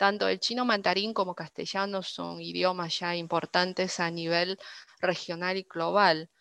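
A woman with a bright, sharp tone speaks slowly in a monotone, flat way, in a very clean, dry, close recording with no echo and a silent background. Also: medium pitch for a woman. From northern China (Dalian). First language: Chinese (speaking Spanish). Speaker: interpreter. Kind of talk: interview.

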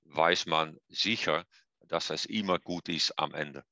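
Against a quiet background, a man talks at a fairly slow pace with a very deep, low pitch and a bright, sharp tone. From eastern Netherlands. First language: Dutch (speaking German). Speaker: physiotherapy professor. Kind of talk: interview. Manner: halting, many hesitations.

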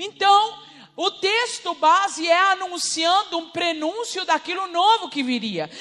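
A woman speaks in an animated tone with a raised, projected voice at an extremely high pitch. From Uruguay, Rivera. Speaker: preacher. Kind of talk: sermon.

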